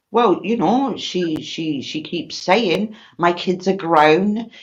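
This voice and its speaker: A woman speaks with a British accent. Her pitch is fairly low, with ordinary variation. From Britain. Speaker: livestream host. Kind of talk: casual chat. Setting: live stream.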